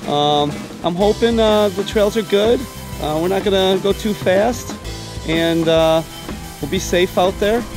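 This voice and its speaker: Over clear background music, a man with a high pitch and ordinary variation speaks very slowly in a dry sound with no echo. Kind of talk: casual vlog chat. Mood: cheerful, relaxed. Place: street. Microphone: phone near.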